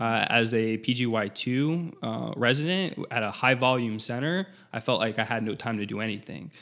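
The speaker has an ordinary speaking voice with ordinary pitch variation. The pace is moderate, with hardly any pauses. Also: man, medium pitch for a man. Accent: American. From South Florida. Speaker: transplant pharmacist. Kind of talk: interview.

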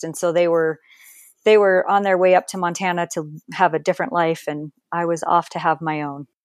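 Captured in a very clean recording with a silent background, a woman with an American accent uses a plain, everyday voice at a fairly low pitch, talking at a fairly quick pace with fairly even intonation. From New Jersey, Perth Amboy. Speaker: author. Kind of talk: interview, personal life story.

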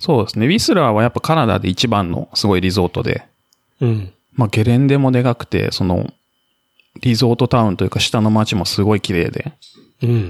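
Speaking at a fairly quick pace, a man has an unremarkable speaking voice. His medium pitch shows ordinary variation, and the sound is dry and close with no echo. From Japan, Kamakura, Kanagawa. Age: 40s. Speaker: ultramarathon runner and office worker posted abroad. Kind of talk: casual interview chat.

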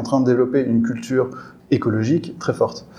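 Noticeable background noise runs under a man speaking at a moderate pace and medium pitch. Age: 30s. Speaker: eco-union co-founder and HR manager. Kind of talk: interview.

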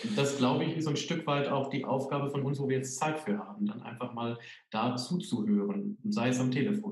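A man's fairly high voice with lively intonation and a fairly quick pace, plus audible room echo and noticeable background noise. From Sauerland, Germany. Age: 30s. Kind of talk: interview.

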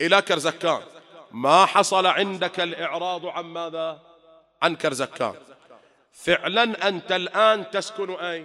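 Very slowly, a man speaks in a high pitch with a bright, sharp tone and fairly even intonation. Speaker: Shia cleric. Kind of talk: sermon. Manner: rhetorical questions to audience.

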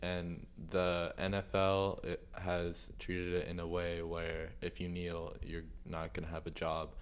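A man speaks in a very deep, low pitch with monotone, flat intonation at a fairly slow pace, with hardly any pauses. Audible room echo surrounds the voice. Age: 18. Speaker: student podcast host. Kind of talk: interview.

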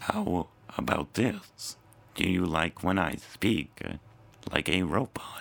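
Doing a put-on character voice, a man speaks at a fairly slow pace in a very deep, low pitch with long, frequent pauses.

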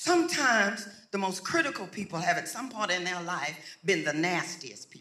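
With a raised, projected voice, a man speaks high in pitch at a moderate pace with ordinary pitch variation. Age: 70s. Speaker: pastor. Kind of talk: sermon. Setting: church with congregation. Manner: animated.

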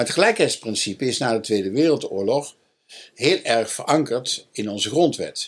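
This man's fairly high voice swings very widely in pitch while he keeps a moderate pace. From North Brabant, Netherlands. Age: 70s. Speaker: historian and education expert. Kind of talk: interview. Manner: halting.

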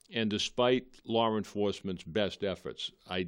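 Over a quiet background, a man with a Boston accent speaks at a moderate pace with ordinary pitch variation. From Boston area, Massachusetts (Malden). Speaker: police chief. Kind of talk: interview on local cable TV. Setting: TV studio.

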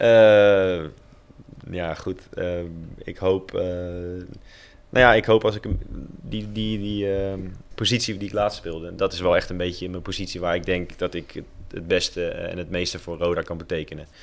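Speaking at a fairly slow pace, a man uses a very deep, low pitch and fairly even intonation, with long, frequent pauses. The recording is very clean and the background silent. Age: 30s. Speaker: professional footballer. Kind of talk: casual chat. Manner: halting.

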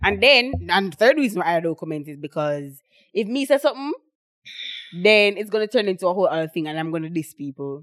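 A woman's medium-pitched voice at a very fast pace, in an animated, playful tone with very wide pitch swings and big swings in loudness. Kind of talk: casual chat.

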